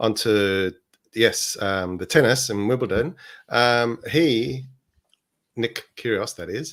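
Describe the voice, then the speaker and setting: A man talks at a fairly slow pace with an Australian accent. The recording is very clean, with a silent background. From Australia (born in Chile). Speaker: podcast co-host. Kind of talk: casual chat.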